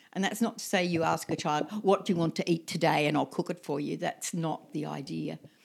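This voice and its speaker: A woman speaks with an Australian accent at a fairly quick pace, her fairly low voice showing vocal fry. Her pitch varies in an ordinary way, with hardly any pauses. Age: 70s. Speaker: permaculture elder and homesteader. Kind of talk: casual chat. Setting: tea house, handheld mics. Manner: hesitant with fillers.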